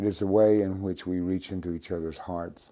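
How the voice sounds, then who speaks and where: Dark, mellow tone with fairly even intonation. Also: man. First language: Cherokee. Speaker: Cherokee language teacher. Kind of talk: interview monologue.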